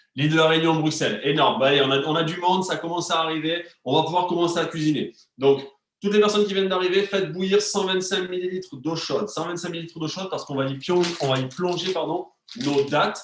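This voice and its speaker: This man's voice is high-pitched for a man, with ordinary pitch variation. He speaks at a very fast pace. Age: 30s. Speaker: wellness and nutrition coach. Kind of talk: live cooking class stream. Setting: online live stream with chat. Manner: animated, hesitant with many fillers.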